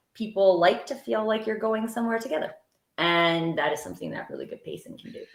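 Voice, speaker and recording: Speaking at a fairly quick pace, a woman talks with vocal fry. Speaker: TEDx speaker and storytelling coach. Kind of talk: panel discussion.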